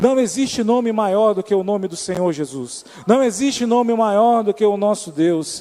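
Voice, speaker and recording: With an Amazonas accent, the speaker goes at a fairly slow pace with ordinary pitch variation. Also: man. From Amazonas, Brazil. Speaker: preacher. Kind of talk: sermon.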